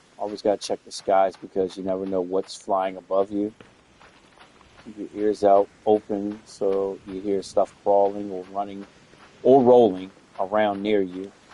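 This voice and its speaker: This man talks fairly slowly in a fairly low, monotone voice with flat intonation and big swings in loudness. The sound is dry and close with no echo, over noticeable background noise. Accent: American. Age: old. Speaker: gamer and streamer. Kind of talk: gameplay commentary. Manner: casual, conversational.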